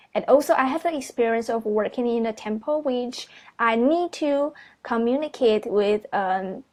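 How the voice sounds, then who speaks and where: A woman with a Chinese accent speaks at a high pitch and a moderate pace, with ordinary pitch variation and a quiet background. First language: Mandarin Chinese. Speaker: university student applying for teaching job. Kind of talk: video resume presentation. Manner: halting, with many fillers.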